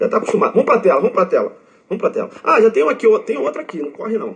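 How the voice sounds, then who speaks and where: Animated in tone, a man talks at a very fast pace. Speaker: law exam prep teacher. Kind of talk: lecture. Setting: online live stream. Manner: shouts for emphasis.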